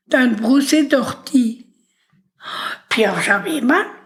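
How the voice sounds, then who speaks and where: A woman speaks at a very slow pace with a high pitch. Her pitch varies in an ordinary way. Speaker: elderly woman telling life story. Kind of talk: oral history interview. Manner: whispering at times; intense.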